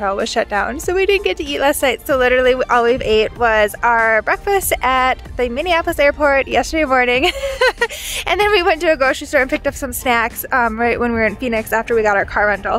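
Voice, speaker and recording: Faint music plays behind a woman who speaks very fast in a high pitch. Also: dry sound with no echo. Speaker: travel vlogger. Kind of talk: casual vlog chat. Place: open country. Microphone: phone near.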